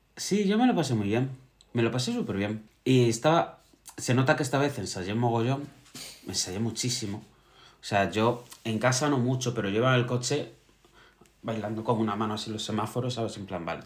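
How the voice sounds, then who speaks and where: This man has an unremarkable speaking voice and talks at a moderate pace. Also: medium pitch for a man, ordinary pitch variation. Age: 30s. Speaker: podcast co-host, drag performer. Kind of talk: casual chat. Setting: live stream recording.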